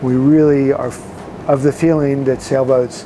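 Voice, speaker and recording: A man speaks in a monotone, flat intonation. Noticeable background noise runs behind him. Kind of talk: interview answer. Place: boat. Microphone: lapel.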